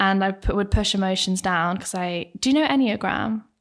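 A woman is speaking. She has a southern English accent. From Bracknell, southern England. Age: 20s. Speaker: actress. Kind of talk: casual chat. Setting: studio.

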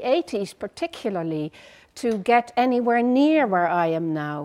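With a Dutch accent, a woman speaks fairly slowly at a fairly high pitch with very wide pitch swings, against a quiet background. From Netherlands. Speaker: psychotherapist. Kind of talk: lecture.

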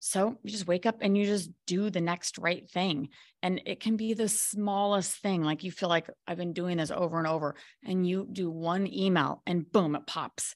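Against a quiet background, a woman talks in an ordinary speaking voice at medium pitch, with fairly even intonation and a moderate pace. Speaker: author and coach. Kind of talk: casual interview chat.

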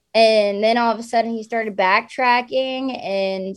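A woman's fairly high voice with an American accent, an unremarkable speaking voice, at a moderate pace. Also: very clean recording, silent background. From US South, raised from age eight after leaving New Jersey. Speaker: outdoor influencer and hunter. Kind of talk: casual interview chat.

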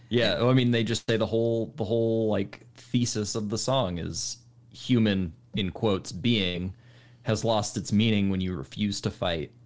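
A man with a plain, everyday voice, fairly low pitch, ordinary pitch variation and moderate pace. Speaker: podcast host. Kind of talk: casual chat. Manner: casual, conversational.

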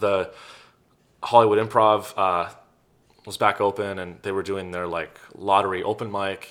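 With an American accent, a man speaks at a moderate pace and fairly low pitch in a monotone, flat intonation, leaving long, frequent pauses and making big swings in loudness. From Silicon Valley, California. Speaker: comedian. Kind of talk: casual interview chat.

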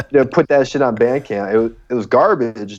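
A man with an American accent has an ordinary speaking voice at medium pitch. He speaks at a fairly quick pace against a quiet background. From Chicago suburbs, US. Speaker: rapper. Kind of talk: casual chat. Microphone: choppy connection.

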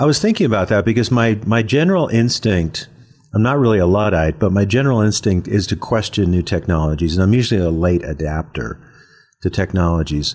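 A man with a plain, everyday voice and a fairly low pitch speaks fairly quickly with lively intonation. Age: 60s. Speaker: philosophy professor. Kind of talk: interview.

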